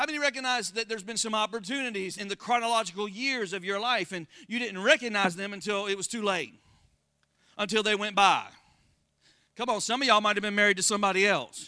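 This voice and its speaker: A man's high, bright, sharp voice in an American accent, animated, raised and projected, at a very fast pace. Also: ordinary pitch variation. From Florida. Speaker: pastor. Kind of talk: sermon.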